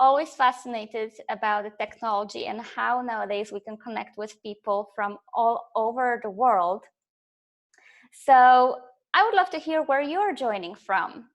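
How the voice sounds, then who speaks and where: Against a quiet background, a high-pitched woman with a slight Polish accent speaks with lively intonation and big swings in loudness. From Poland. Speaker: life coach. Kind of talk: live webinar presentation. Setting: online webinar, camera off. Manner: hesitant, many fillers.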